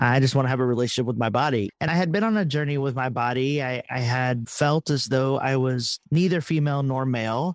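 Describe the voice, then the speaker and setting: The speaker has a Texan accent. The pace is fairly quick. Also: man, medium pitch for a man, ordinary pitch variation, hardly any pauses. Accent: Texan accent, brought back after hiding it. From Texas. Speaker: theologian and author. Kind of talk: interview conversation.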